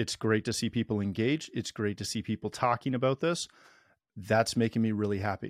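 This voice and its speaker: A man speaks at a fairly quick pace and medium pitch with fairly even intonation, in an ordinary speaking voice. The recording is very clean with a silent background and a dry, close sound with no echo. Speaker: podcast host. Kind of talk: panel discussion, casual interview.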